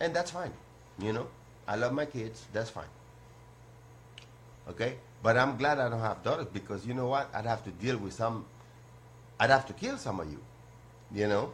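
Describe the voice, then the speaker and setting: Pausing long and often, a man speaks in a somewhat breathy voice at medium pitch. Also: ordinary pitch variation, moderate pace. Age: 60s. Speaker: call-in show host. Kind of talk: casual monologue. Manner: animated.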